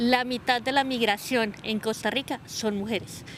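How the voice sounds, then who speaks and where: A woman's voice over noticeable background noise. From Colombia. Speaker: sociologist and researcher. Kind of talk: interview. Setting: outdoors. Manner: halting.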